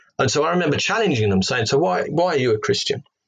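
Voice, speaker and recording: A man talks with a slight Cockney accent. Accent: English, slight Cockney twang. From London, England. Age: 40s. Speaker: former atheist turned reverend, ex-policeman. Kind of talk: interview testimony. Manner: halting, with many fillers and repetitions.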